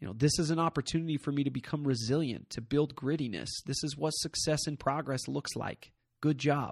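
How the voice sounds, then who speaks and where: Fairly quick and somewhat breathy, this man's voice is fairly high in pitch. His intonation stays fairly even against a quiet background. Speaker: podcast host. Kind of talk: motivational pep talk, direct address. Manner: emphatic, punchy, encouraging; repetitive for emphasis, rhetorical questions.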